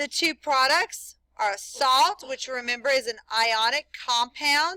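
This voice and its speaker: A woman speaks very slowly in a raised, projected voice at a high pitch. Her tone is bright and sharp, her intonation lively. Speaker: chemistry teacher. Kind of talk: classroom lecture.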